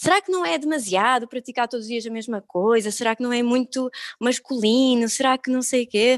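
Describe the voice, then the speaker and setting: Pitch moves with ordinary variation. The delivery is fairly quick. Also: woman, high pitch for a woman, dry, close sound with no echo. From Algarve, Portugal. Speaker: yoga teacher. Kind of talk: casual interview.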